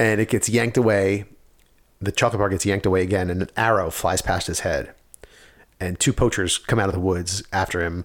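Fairly low male voice at a fairly quick pace, fairly even intonation, very clean recording, silent background. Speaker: podcast host. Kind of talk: casual chat. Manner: fast talker.

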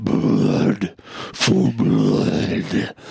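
A man uses a put-on character voice with a very deep, low pitch. It comes out gravelly and growling. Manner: menacing.

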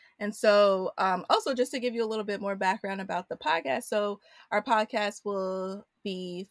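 Heard in a very clean recording with a silent background and a dry, close sound with no echo, an unremarkable speaking voice with an American accent moves at a moderate pace with ordinary pitch variation. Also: woman. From Queens, New York. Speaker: podcast co-host. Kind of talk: casual chat.

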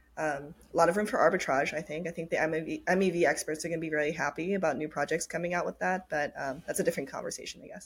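Very fast, somewhat breathy speech with hardly any pauses, fairly even intonation and an American accent. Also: woman, fairly low pitch for a woman. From Japan and Minnesota. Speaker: startup founder and CEO. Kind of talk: interview.

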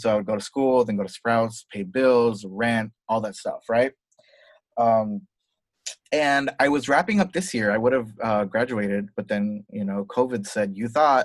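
A man speaks at a moderate pace in a plain, everyday voice, his pitch medium and its variation ordinary. The sound is dry and close, with no echo. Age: 30s. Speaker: fashion designer. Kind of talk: casual chat.

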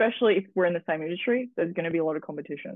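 A woman with an Australian accent talks at a very fast pace. Her pitch is medium. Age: 20s. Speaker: model and social media content creator. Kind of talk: casual interview chat.

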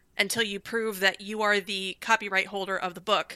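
A woman's bright, sharp voice comes at a moderate pace in a fairly high pitch. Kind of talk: casual chat. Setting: video call.

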